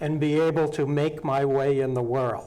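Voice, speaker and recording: A man talks at a fairly slow pace. Room echo can be heard. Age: 60s. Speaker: local housing advocate, volunteer on county advisory bodies. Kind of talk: interview on local TV talk show.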